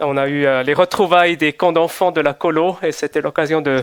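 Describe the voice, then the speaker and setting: With a Swiss German accent, a man speaks at a moderate pace in a high voice with ordinary pitch variation, dry and close with no echo. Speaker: visiting preacher. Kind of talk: sermon. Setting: church service. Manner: hesitant with fillers.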